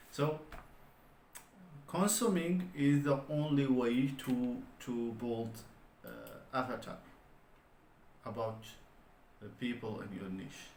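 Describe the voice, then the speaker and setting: A man with a non-native accent and medium pitch, very slow pace, long and frequent pauses, lively intonation, big swings in loudness, and audible room echo. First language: not English. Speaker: online business vlogger. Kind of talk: solo vlog monologue. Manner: halting, many fillers.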